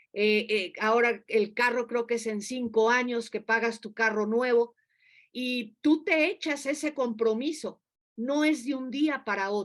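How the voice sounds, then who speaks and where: This woman has a normal speaking voice, fairly high in pitch with ordinary variation. She talks at a fairly slow pace. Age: 60s. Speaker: preacher. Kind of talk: sermon.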